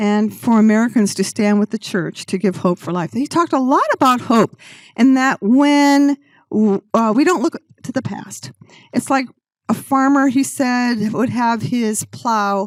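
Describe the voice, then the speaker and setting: A woman in a normal speaking voice talks at a fairly slow pace with fairly high pitch and lively intonation. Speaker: church trip presenter. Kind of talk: slideshow presentation.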